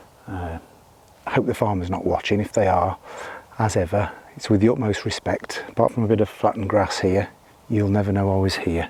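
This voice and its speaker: Fairly quick speech with long, frequent pauses and fairly even intonation, over noticeable background noise. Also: man, fairly low pitch for a man. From UK. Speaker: outdoor vlogger. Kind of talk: casual vlog narration. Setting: outdoors. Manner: quiet.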